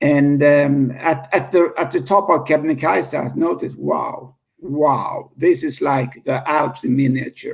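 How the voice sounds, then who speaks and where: Vocal fry colors a man's fairly high voice as he speaks at a fairly slow pace with a Swedish accent and ordinary pitch variation. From Sweden. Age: 50s. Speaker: founder of a cleanup movement. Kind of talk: interview. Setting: podcast interview. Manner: halting, many repetitions.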